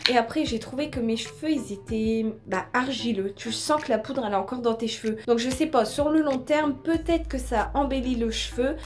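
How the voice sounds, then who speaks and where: A woman's high-pitched voice with ordinary pitch variation, audible room echo and noticeable background noise. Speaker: beauty YouTuber. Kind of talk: product haul review. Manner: fast.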